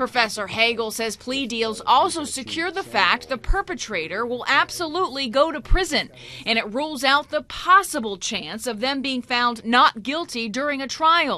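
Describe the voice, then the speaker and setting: Raising and projecting her voice, a woman speaks in a high pitch at a moderate pace, with lively intonation and hardly any pauses. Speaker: TV news reporter. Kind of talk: TV news report.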